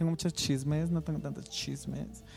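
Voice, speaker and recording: The pace is fairly quick. Music plays in the background. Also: man. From Mexico, Guadalajara. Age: 30s. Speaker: podcast co-host, graphic designer. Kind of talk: casual chat.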